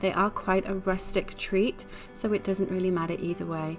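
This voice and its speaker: The intonation is fairly even. Music plays in the background. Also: woman. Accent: Welsh. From Wales. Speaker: home baker. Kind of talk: cooking tutorial narration. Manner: casual, friendly.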